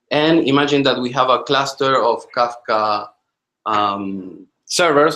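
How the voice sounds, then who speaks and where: A man's fairly high, bright, sharp voice with a non-native accent, lively intonation, and a very slow pace. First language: not English. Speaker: software engineer giving a technical talk. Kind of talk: technical presentation in a team video call. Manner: halting, many fillers and repetitions.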